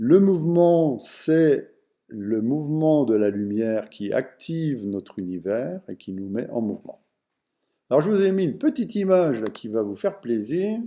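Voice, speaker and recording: With a dark, mellow tone, the voice moves at a fairly slow pace through very wide pitch swings. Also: man, fairly high pitch for a man. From France, Vosges. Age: 60s. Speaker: personal development speaker. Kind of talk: online lecture. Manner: halting, with many fillers.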